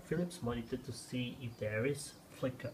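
Light background noise behind a man's speech. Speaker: tech reviewer. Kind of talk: casual tech demo commentary. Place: home room. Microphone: phone near.

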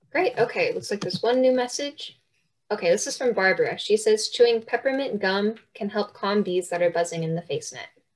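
In a plain, everyday voice, a woman talks at a fairly quick pace with a fairly high pitch and lively intonation. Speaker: workshop co-host and question moderator. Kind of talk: reading audience questions. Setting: video call.

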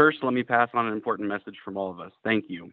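Speaking very fast, a man uses a fairly low pitch and fairly even intonation. The sound is dry with no echo, and the background is quiet. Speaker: firefighter union representative giving public comment. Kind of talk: prepared public comment statement. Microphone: phone line.

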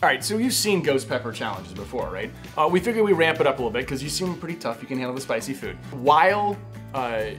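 A man talks at a very fast pace. Clear music can be heard in the background. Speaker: family vlogger. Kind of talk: casual vlog chat. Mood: playful, teasing. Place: home room.

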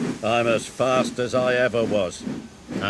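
The text is read aloud. It comes across plainly.

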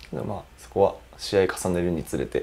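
This man's voice sits very deep and low, with vocal fry and a dark, mellow tone. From Gifu Prefecture, Japan. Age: 20s. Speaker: professional footballer, goalkeeper. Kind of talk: interview. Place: meeting room. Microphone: lapel.

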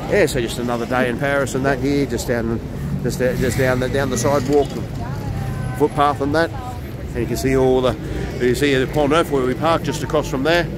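The sound is dry with no echo, though background noise is noticeable. A man talks at a fairly quick pace. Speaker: travel vlogger. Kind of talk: casual vlog chat. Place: street. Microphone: phone near.

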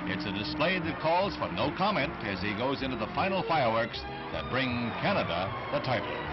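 Clear music plays behind a man who speaks at a fairly quick pace. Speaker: newsreel narrator. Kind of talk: newsreel narration. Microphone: old recording.

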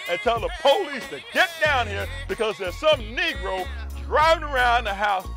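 Clear music plays behind a man speaking at a moderate pace. The sound is dry with no echo. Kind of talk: comedic monologue, vlog rant. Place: car. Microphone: phone near.

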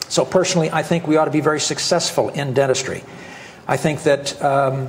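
A man keeps fairly even intonation and a fairly quick pace, with light background noise present. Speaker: presenter. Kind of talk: lecture. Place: hall. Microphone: lapel.

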